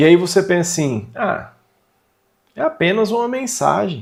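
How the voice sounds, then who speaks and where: This man's voice sits at a fairly high pitch and carries vocal fry. He speaks at a fairly slow pace. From Brazil, São Paulo state (Vale do Paraíba). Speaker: manual therapy instructor. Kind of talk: online lecture. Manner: conversational, emphatic.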